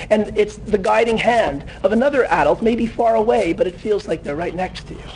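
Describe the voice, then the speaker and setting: The pace is fairly quick. Background noise is noticeable. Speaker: teacher. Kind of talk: conference talk. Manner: fast.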